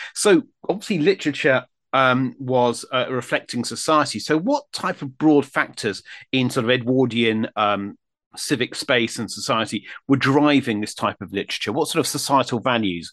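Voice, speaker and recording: Over a quiet background with a dry, close sound and no echo, a man with an ordinary speaking voice speaks at a medium pitch and moderate pace with ordinary pitch variation. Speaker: history podcast host. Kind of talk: interview.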